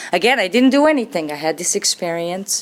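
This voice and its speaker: A woman speaks with a Serbian accent at a moderate pace. Noticeable background noise runs beneath her. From Serbia, Belgrade. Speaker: recovering alcoholic speaker. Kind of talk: testimony.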